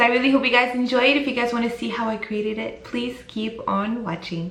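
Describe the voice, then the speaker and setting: Amid noticeable background noise and audible room echo, a woman speaks at a very fast pace. Her pitch is high and her tone animated. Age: 30s. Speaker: beauty vlogger. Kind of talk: tutorial.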